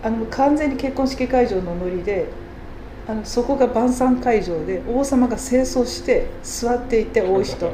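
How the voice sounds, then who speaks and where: A woman's high-pitched voice at a moderate pace, ordinary pitch variation, audible room echo and noticeable background noise. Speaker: culture program manager. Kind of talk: interview. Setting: showroom. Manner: hesitant fillers.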